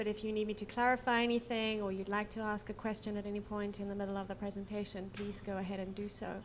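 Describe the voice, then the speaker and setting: A woman's monotone, flat voice at a very fast pace with hardly any pauses, with audible room echo and noticeable background noise. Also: medium pitch for a woman. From South Africa. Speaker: social investment consultant. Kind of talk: conference presentation.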